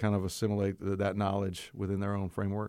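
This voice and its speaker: A man with a Southern US accent speaks at a very fast pace. The recording is very clean, with a silent background. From coastal North Carolina. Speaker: seminary provost and preaching professor. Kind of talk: casual interview.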